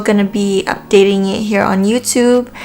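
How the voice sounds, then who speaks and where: A woman speaks at a moderate pace with a Filipino accent. There is noticeable background noise. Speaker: beauty vlogger. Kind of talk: makeup tutorial. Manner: casual, hesitant with fillers.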